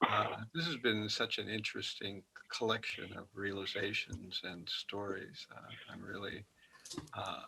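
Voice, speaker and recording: Soft-spoken and fairly low in pitch, a man talks at a fairly slow pace with ordinary pitch variation. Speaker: monk moderator. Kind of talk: event moderation. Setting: video call.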